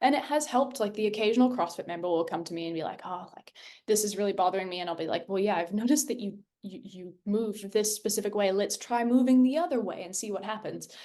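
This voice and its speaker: A woman speaks very fast at a medium pitch in a dark, mellow tone with an American accent, her pitch varying in an ordinary way while her loudness swings widely. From US, California Bay Area and Minnesota. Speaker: gymnastics coach and nutritionist. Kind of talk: podcast conversation.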